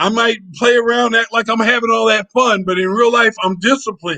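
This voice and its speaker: A man with a high voice projects loudly in a bright, sharp tone, talking at a moderate pace with ordinary pitch variation. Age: 60s. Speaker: retired traveler and travel vlogger. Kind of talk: casual chat.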